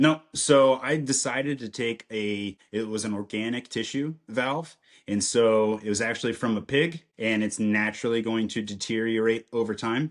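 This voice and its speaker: A man with an American accent and an ordinary speaking voice speaks at a moderate pace and medium pitch, with hardly any pauses. His intonation is fairly even, and the background is quiet. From central Illinois. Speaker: podcast guest sharing life story. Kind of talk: testimony.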